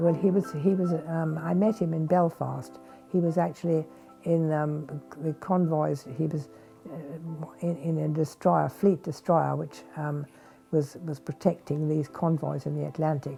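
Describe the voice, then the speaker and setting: Over music in the background, a woman with a very deep, low voice speaks at a fairly slow pace. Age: 80s+. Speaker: war veteran. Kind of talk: interview. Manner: hesitant.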